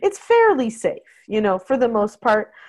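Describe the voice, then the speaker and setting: Speaking at a fairly slow pace, a woman swings her pitch very widely. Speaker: parenting podcast host. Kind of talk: casual chat.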